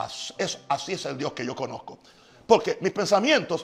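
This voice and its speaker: A man talks in a high voice over noticeable background noise. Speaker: pastor. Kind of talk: sermon. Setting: live stream from home. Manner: fast; animated.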